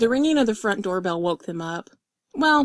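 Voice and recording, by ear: Against a quiet background, a passage is read aloud in a natural voice with lively intonation.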